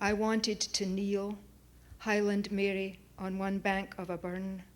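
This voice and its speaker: With a Scottish accent, a woman speaks at medium pitch and a fairly slow pace in a monotone, flat intonation. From Scotland, Oban. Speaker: poet. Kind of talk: poetry reading. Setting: auditorium with audience.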